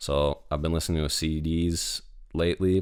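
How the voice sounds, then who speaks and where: A man's very deep, low voice in a flat monotone, on a very clean recording with a silent background. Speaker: podcast host. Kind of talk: casual solo podcast monologue.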